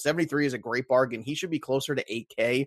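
Against a quiet background, a man talks in an animated tone with a dry, close sound and no echo. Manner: animated, jokey.

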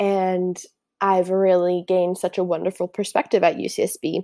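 A woman with an American accent speaks at a moderate pace in a dark, mellow, relaxed tone. The sound is dry and close with no echo, in a very clean recording with a silent background. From California (Santa Barbara / Ventura). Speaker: podcast host, anthropology student. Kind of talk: casual solo monologue. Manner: informal, relaxed.

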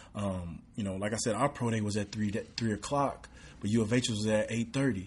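With an East Texas accent, a man talks at a fairly quick pace in a medium pitch, somewhat breathy, with fairly even intonation over a quiet background. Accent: East Texas Southern American. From East Texas (Redwater, near Texarkana). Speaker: professional football player. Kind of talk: casual interview.

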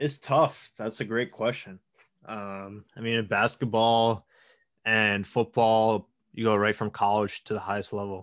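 A man with an American accent speaks at a fairly slow pace and fairly low pitch, in an ordinary speaking voice. The recording is very clean, with a silent background. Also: fairly even intonation. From Long Island, New York. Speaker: professional baseball pitcher. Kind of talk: interview.

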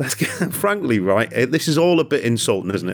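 A man with a British accent speaks at a very fast pace, his intonation lively. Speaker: football podcast host. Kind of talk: casual chat. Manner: jokey.

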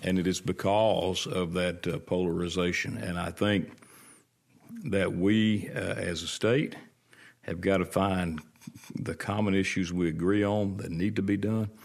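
A man speaks with a Mississippi accent in a very deep, low pitch. His pace is fairly slow, with ordinary pitch variation. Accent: US Southern (Mississippi). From Mississippi, Rankin County. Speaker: state legislator, lawyer and pastor. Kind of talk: interview.

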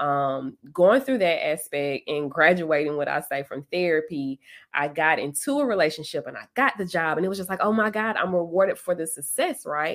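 At a moderate pace, a woman with an ordinary speaking voice and fairly low pitch talks with lively intonation and hardly any pauses. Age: 30s. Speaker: social worker and podcast host. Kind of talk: casual chat.

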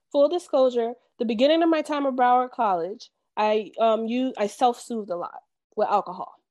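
At a fairly quick pace, the speaker uses lively intonation with an American accent against a quiet background. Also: woman, high pitch for a woman. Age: 30s. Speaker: therapist. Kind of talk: interview podcast.

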